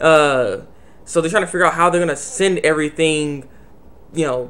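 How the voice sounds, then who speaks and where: The speaker is a man. Noticeable background noise can be heard behind him. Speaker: anime reviewer. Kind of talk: casual video review. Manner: stuttering, repetitive; animated.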